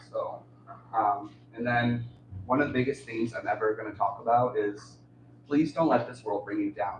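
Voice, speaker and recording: A man's voice at medium pitch keeps a moderate pace and fairly even intonation. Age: 30s. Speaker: author and poet. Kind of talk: livestream talk about own books. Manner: halting.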